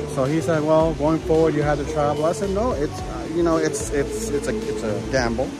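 A man's voice sounds dry with no echo. Clear music plays in the background. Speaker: travel vlogger. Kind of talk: casual vlog chat. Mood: mildly annoyed, recounting. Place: station. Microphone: phone near.

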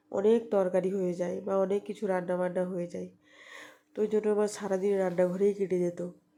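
In a monotone, flat intonation, this woman talks at a medium pitch. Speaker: vlogger. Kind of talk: casual vlog narration. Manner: halting.

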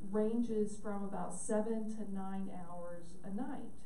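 The speech moves at a very slow pace. Light background noise and audible room echo are present. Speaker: sleep medicine physician. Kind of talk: lecture. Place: hall.

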